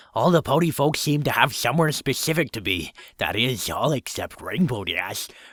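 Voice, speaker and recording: A man's put-on character voice, nasal and fairly high-pitched, at a moderate pace. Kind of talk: fan fiction reading with improvised voices.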